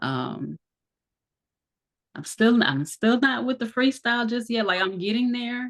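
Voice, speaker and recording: Pausing long and often, a woman talks at a fairly slow pace in a fairly high pitch with ordinary pitch variation. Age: 30s. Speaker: massage therapist and aspiring rapper. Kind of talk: casual chat.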